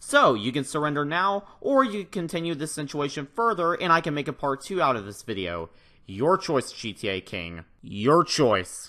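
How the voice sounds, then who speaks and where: Loud and bright with a sharp tone, a man speaks at a moderate pace in a fairly high voice, his pitch swinging very widely over a quiet background. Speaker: gaming youtuber. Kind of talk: youtube call-out commentary.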